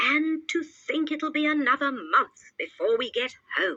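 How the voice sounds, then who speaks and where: A woman puts on a character voice, pitched high and paced moderately. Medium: read story. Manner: grumbling, excitable.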